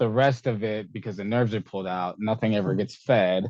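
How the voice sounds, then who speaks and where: This man has an ordinary speaking voice, fairly low in pitch, with ordinary pitch variation at a moderate pace. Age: 20s. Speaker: para-athlete ultrarunner. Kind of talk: interview.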